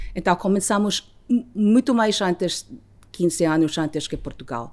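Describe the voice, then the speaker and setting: Her pitch rises and falls very widely. The woman talks fairly slowly. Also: medium pitch for a woman, very clean recording, silent background. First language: Filipino/English; Portuguese learned in 5 years (speaking Portuguese). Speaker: ambassador. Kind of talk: interview. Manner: halting, with hesitations.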